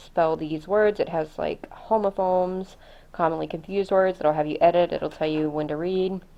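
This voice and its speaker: A woman's fairly low voice at a moderate pace, with fairly even intonation and an American accent. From US South. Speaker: homeschooling mom, vlogger. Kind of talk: casual curriculum review vlog. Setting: home, recording on camera. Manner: casual, many fillers.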